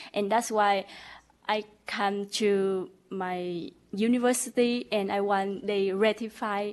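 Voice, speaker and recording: A very slow pace with fairly even intonation. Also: woman. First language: not English. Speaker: license applicant. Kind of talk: testimony. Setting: board meeting. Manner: halting.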